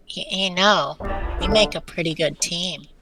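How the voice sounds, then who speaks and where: A cartoonish character voice, female-sounding and at a medium pitch for a woman, moves along at a moderate pace. Faint music plays in the background. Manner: blunt, gruff.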